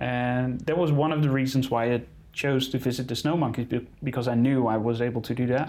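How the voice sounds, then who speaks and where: A man with a Dutch accent talks at a fairly quick pace and medium pitch. His intonation is fairly even and his loudness very even. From Netherlands. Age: 30s. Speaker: wildlife photographer. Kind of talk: interview. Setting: in-person studio. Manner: hesitant, many fillers.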